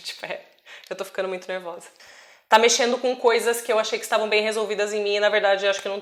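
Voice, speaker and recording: A woman with a fairly high pitch talks very fast. Her intonation stays flat and monotone. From Brazil. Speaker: travel vlogger. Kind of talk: personal vlog monologue.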